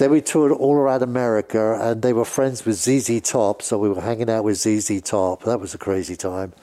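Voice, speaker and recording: A British-accented man speaks at a moderate pace and medium pitch with a dark, mellow tone and lively intonation. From England. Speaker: music industry veteran, record label executive. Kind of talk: casual interview storytelling.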